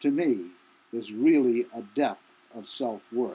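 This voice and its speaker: A man speaks at a fairly slow pace in a very clean recording with a silent background. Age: 70s. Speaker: self-help teacher. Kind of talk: motivational talk.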